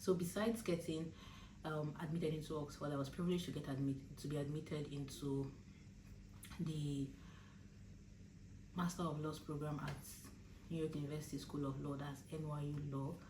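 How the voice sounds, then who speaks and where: A woman with a very deep, low pitch and a dark, mellow tone sounds somewhat breathy, leaving long, frequent pauses amid audible room echo. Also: fairly even intonation, fairly quick pace. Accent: Nigerian. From Nigeria. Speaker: law student and vlogger. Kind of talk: casual advice vlog. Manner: hesitant, many fillers.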